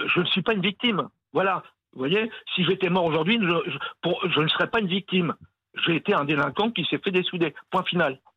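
A man's voice sits high in pitch. He moves along at a fairly quick pace. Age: 70s. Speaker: caller, former convict. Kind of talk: casual chat. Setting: phone call.

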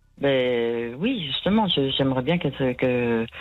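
With music in the background, a woman speaks at a very slow pace in a very deep, low pitch with ordinary pitch variation. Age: 60s. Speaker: caller. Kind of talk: testimony. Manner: halting.

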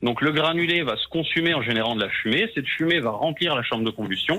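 A man's unremarkable speaking voice, fairly high and fairly quick, with lively intonation. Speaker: heating technician. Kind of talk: heated phone argument. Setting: phone call. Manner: defensive.

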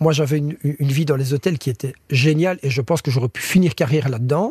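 A man's somewhat breathy, fairly high voice at a fairly quick pace, with ordinary pitch variation and a dry, close sound with no echo. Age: 30s. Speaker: chef, cooking contest finalist. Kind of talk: interview. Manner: halting, frequent repetitions.

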